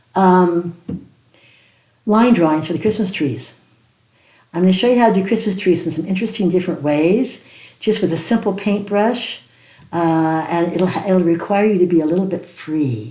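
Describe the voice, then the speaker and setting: At a moderate pace, a woman with a dark, mellow tone and ordinary pitch variation speaks with long, frequent pauses amid audible room echo. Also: medium pitch for a woman. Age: 80s+. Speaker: watercolor art teacher. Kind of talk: tutorial. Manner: casual, warm.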